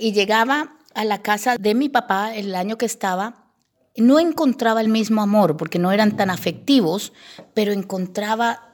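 Here is a woman with a plain, everyday voice at a medium pitch, speaking at a fairly slow pace with ordinary pitch variation. The recording is very clean, with a silent background. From Colombia, Bogotá and Llanos Orientales. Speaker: radio broadcaster. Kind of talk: testimony interview.

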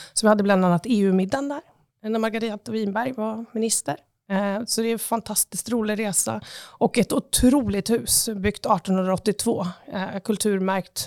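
On a very clean recording with a silent background and a dry, close sound free of echo, a woman speaks in an ordinary speaking voice at medium pitch, with fairly even intonation and a moderate pace. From Östersund, Jämtland, Sweden. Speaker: tourism agency CEO. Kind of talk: interview. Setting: office.

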